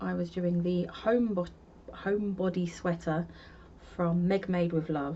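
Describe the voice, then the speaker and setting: A woman speaks with a London accent at a fairly low pitch. Her intonation stays fairly even. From London, North London. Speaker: crochet podcaster. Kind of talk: casual chat. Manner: casual, chatty.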